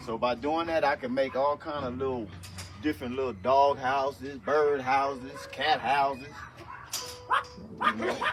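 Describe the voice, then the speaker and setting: A man speaks at a fairly slow pace in a fairly high pitch, leaving long, frequent pauses. Music plays in the background. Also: fairly even intonation. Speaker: homesteader. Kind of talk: casual talk to camera. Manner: casual, profane.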